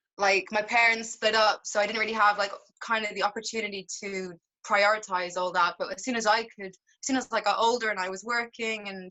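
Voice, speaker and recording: Speaking in an Irish accent, a woman with a fairly high pitch moves at a fairly quick pace, her loudness swinging widely. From Ireland, Dublin (from age 8 to teens; born London). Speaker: singer-songwriter, actor and model. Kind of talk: interview.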